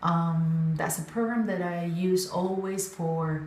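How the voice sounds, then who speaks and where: Over noticeable background noise, a woman with a non-native accent speaks with ordinary pitch variation. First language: not English. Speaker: synchronized swimming coach. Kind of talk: casual talk to camera. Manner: hesitant, many fillers.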